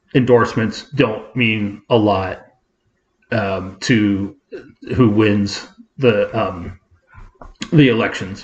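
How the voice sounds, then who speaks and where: A man speaks at a very slow pace in a fairly low, somewhat breathy voice. His intonation is fairly even, and he leaves long, frequent pauses. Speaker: podcast co-host. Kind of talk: casual chat. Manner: halting, stuttering.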